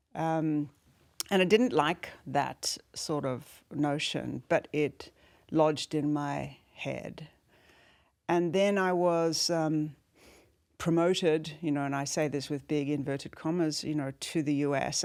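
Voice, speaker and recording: A fairly slow delivery with a South African accent and ordinary pitch variation, on a very clean recording with a silent background. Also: woman, very deep, low pitch for a woman. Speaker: former business executive and leadership guide. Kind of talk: interview conversation. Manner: reflective, with many fillers.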